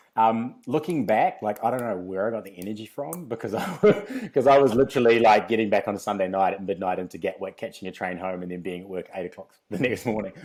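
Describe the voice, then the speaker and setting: Very fast and with a New Zealand accent, a man speaks at a fairly low pitch with ordinary pitch variation. His loudness swings a lot. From New Zealand, Christchurch. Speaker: fitness company founder. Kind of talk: casual interview. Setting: in person podcast.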